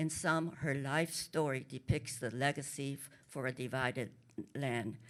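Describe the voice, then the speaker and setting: A woman's very deep, low voice with big swings in loudness and fairly even intonation. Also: fairly slow pace. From Korea. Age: 80s+. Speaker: author. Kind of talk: panel talk. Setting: stage with audience. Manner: halting.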